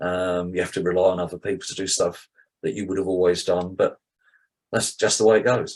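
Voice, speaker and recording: In a British accent, a man speaks in a very deep, low voice. His pace is fairly quick and his intonation fairly even. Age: 70s. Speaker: cardiac arrest survivor. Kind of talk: testimony.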